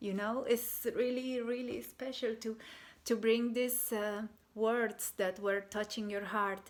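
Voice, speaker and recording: In a Bolivian accent, a woman speaks at a fairly slow pace with a fairly high pitch and monotone, flat intonation. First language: Spanish. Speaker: artist and shamanic healer. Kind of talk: personal testimony. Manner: halting, many fillers.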